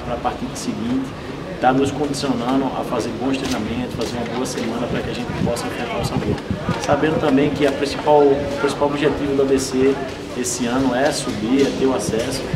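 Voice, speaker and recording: Loud background noise sits behind a man speaking at a fairly quick pace. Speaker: football coach. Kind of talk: interview answer.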